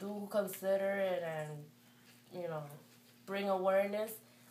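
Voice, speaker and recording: Someone speaks with a Spanish accent amid noticeable background noise and audible room echo. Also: woman. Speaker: parent of bilingual toddlers. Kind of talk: interview. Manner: hesitant, with fillers.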